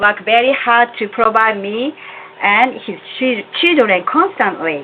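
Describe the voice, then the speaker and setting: A woman with a Japanese accent talks at a fairly slow pace, her pitch fairly high and her intonation lively. Noticeable background noise sits behind her. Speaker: religious community member. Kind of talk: testimony. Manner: formal.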